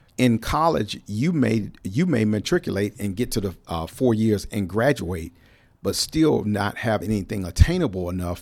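In a very clean recording with a silent background, a man with a normal speaking voice and an American accent speaks at a moderate pace, his fairly low pitch carried by lively intonation. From Cleveland, Ohio. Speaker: retired navy civilian worker, trades advocate. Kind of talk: casual interview. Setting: studio.

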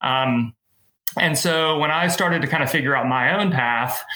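Using an ordinary speaking voice, a man with an American accent talks at a moderate pace with ordinary pitch variation. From Middle Tennessee, US South. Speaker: race director and event business owner. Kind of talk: casual interview.

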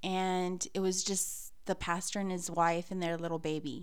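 At a fairly slow pace and medium pitch, a woman with an American accent talks amid audible room echo. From San Antonio, Texas. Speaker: missionary's wife. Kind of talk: testimony. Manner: halting, many fillers.

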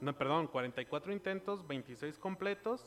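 The speaker has a Mexican accent. The pace is very slow. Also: man. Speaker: podcast host. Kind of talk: casual chat. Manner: animated.

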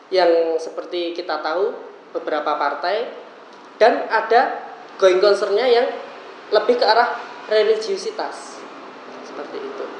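Talking fairly slowly, a man is heard through audible room echo and noticeable background noise. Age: 20s. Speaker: university student and political party cadre. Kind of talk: casual interview.

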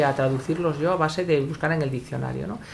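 A woman talks with a very deep, low pitch and fairly even intonation. Noticeable background noise runs underneath. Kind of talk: casual chat.

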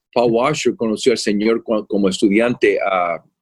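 A plain, everyday voice from a man at medium pitch and moderate pace. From Puerto Rico, moved to Florida at eight. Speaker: pastor and theology professor. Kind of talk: interview conversation.

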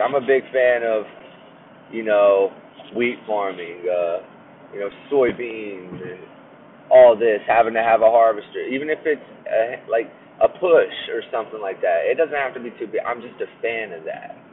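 Amid noticeable background noise, a man talks at a moderate pace with long, frequent pauses and big swings in loudness. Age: 20s. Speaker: podcast host and aspiring market gardener. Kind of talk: casual solo monologue. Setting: in a vehicle on the way to work. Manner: hesitant, many fillers.

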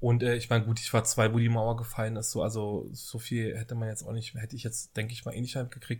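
Somewhat breathy and monotone, a man talks at medium pitch and a very fast pace, with hardly any pauses. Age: 30s. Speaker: podcast co-host. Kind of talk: casual chat. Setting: home kitchen.

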